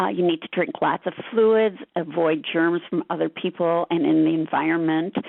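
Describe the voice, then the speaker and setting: With a plain, everyday voice, a woman of fairly low pitch talks at a moderate pace with hardly any pauses, very even loudness and ordinary pitch variation. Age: 60s. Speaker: patient advocate. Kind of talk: webinar presentation.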